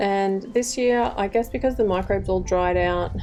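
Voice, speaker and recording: The speaker has an Australian accent and keeps a moderate pace. Music plays behind the voice. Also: woman. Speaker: home gardener, channel owner. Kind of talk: garden tour walkthrough. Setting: outdoors in garden. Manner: hesitant, filler words.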